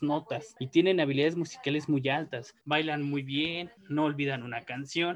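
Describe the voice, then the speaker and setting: An ordinary speaking voice goes at a moderate speed, its pitch shifting in the usual way. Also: man. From Mexico. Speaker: neuropsychologist and researcher. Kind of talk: interview. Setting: video call.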